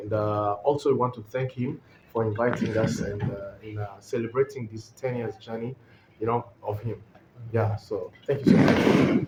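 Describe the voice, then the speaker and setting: A man's fairly even intonation and moderate pace come through noticeable background noise. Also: medium pitch for a man. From Rwanda. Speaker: comedian. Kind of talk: casual chat.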